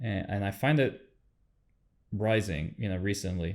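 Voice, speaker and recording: On a very clean recording with a silent background, a man with a non-native accent speaks fairly slowly at a fairly low pitch, with ordinary pitch variation. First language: not English. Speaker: podcast host. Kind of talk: interview conversation. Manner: halting, many fillers.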